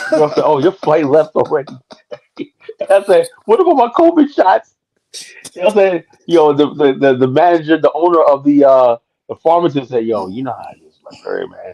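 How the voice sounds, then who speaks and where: An animated man speaks with an American accent at a moderate pace, with big swings in loudness. The sound is dry and close with no echo, and he takes long, frequent pauses. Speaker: guest on a live talk stream. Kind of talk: casual chat.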